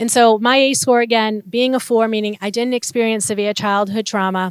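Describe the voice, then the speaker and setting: Over a silent background in a very clean recording, a woman with a Boston accent talks fairly quickly in a fairly high pitch with fairly even intonation. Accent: Boston North Shore. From Massachusetts North Shore (Revere, Saugus). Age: 40s. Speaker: trafficking survivor and advocate. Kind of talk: testimony.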